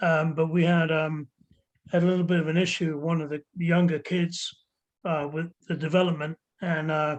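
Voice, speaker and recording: Speaking at a moderate pace with long, frequent pauses, a man with a fairly high pitch keeps a monotone, flat intonation. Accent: English. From England, army childhood abroad. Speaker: ska musician. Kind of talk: casual chat.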